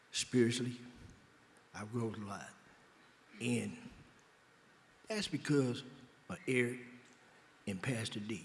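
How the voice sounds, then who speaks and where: Speaking with an American accent, a man at medium pitch talks at a fairly slow pace with long, frequent pauses. His voice is somewhat breathy and his intonation fairly even, with audible room echo. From Oakland, California. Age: 60s. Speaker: former prisoner in a reentry program. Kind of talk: interview on stage. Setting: benefit dinner, stage with audience.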